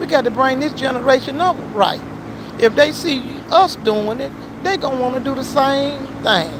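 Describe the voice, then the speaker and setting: A woman speaks at a high pitch in an animated tone with ordinary pitch variation. Noticeable background noise runs underneath. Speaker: auto shop worker and livestreamer. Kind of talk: casual livestream talk, preachy. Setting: at work, outdoors. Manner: fast.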